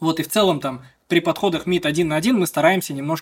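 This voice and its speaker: A man's fairly high voice, very fast, with ordinary pitch variation. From Bashkortostan, Russia (village west of Ufa). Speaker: esports club co-owner and consultant. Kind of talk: casual interview. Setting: office studio, video podcast.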